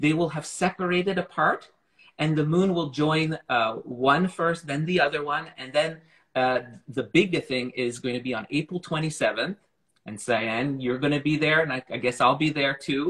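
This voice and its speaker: This man uses a normal speaking voice, his fairly high pitch showing ordinary pitch variation as he keeps a moderate pace. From Montreal, Canada. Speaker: astronomy communicator. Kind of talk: casual chat.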